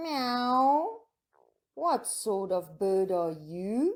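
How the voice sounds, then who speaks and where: A woman's put-on character voice, fairly high in pitch with very wide pitch swings. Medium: read story. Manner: meowing.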